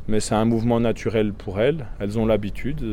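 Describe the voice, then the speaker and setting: The tone is dark and mellow. It belongs to a man. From Franche-Comté, Doubs. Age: 30s. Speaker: beekeeper and vineyard worker. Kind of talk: casual chat.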